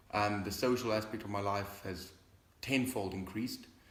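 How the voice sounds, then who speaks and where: Noticeable background noise and audible room echo surround a man's voice. His intonation is fairly even. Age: 20s. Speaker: young person in addiction recovery. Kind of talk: casual vlog talk.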